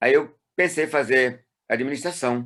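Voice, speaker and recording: The very clean recording with a silent background captures a man speaking at a fairly slow pace with ordinary pitch variation. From Brazil, Ceará (Fortaleza). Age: 60s. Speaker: retired pastor. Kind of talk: interview. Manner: halting.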